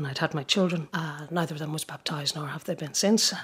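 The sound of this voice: A woman with a low-pitched voice and a husky, rough edge speaks at a moderate pace with fairly even intonation.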